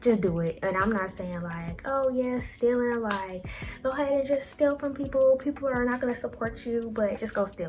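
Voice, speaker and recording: Over noticeable background noise, a woman speaks in a high voice. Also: ordinary pitch variation, moderate pace. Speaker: YouTuber and clothing business owner. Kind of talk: casual motivational talk to camera.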